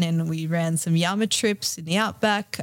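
An Australian accent in a very clean recording with a silent background. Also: woman. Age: 30s. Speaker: yoga teacher and travel retreat organiser. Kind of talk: casual interview.

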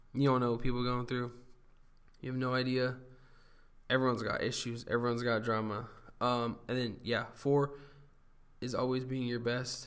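Speech moves at a moderate pace with long, frequent pauses and flat, monotone intonation. Room echo is audible. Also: man, medium pitch for a man. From Southern California. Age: 20s. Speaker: podcast host. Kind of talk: casual monologue. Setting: home studio. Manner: casual, halting with fillers.

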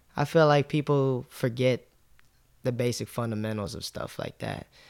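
An unremarkable speaking voice from a man, medium in pitch with ordinary variation, on a very clean recording with a silent background. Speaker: clothing brand founder and sneaker reseller. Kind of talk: casual interview chat.

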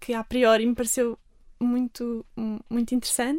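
A woman speaks at a fairly quick pace in a high pitch. Her intonation is monotone and flat. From Algarve, Portugal. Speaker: lay missionary volunteer. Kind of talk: radio interview. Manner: hesitant, many fillers.

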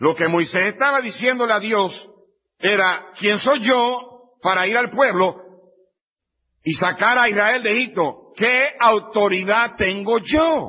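Speaking at a very slow pace, a man keeps his loudness very even in a high-pitched voice. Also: ordinary pitch variation. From Puerto Rico. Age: 50s. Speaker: pastor. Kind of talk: sermon. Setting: church.

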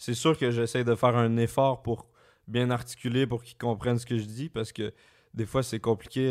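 With a slight Quebec accent, a man speaks at a medium pitch and a moderate pace. His intonation is monotone and flat, on a very clean recording with a silent background. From Quebec, Laurentides. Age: 20s. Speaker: YouTuber. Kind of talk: casual chat. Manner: careful articulation.

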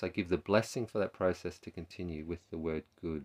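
This man has an Australian accent and a very deep, low pitch. The recording is very clean with a silent background. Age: 40s. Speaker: therapist and podcast host. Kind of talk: reflective solo talk. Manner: halting, with repetitions.

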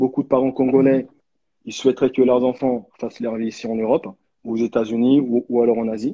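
At a fairly quick pace broken by long, frequent pauses, a man speaks in a monotone, flat way at a medium pitch. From France, raised from age 11 after birth in DR Congo. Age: 30s. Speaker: association founder. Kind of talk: live video interview.

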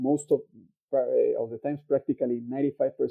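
A man talks with a Mexican accent. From Mexico. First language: Spanish. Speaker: actuarial scientist, youth summit delegate. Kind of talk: casual chat. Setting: video call. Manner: halting.

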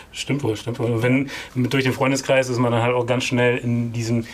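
With noticeable background noise, a man talks in a monotone, flat intonation at very even loudness. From East Frisia, northern Germany. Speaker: film producer. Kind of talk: interview.

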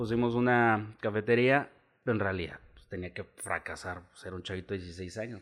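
A man with a normal speaking voice, fairly low pitch, fairly even intonation, big swings in loudness and a moderate pace. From Chihuahua, northern Mexico. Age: 30s. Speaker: bar owner and business leader. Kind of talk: casual chat.

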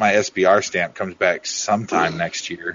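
At a moderate pace, a man with a plain, everyday voice speaks at a fairly low pitch with ordinary pitch variation. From Oregon. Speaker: podcast co-host. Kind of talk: casual chat.

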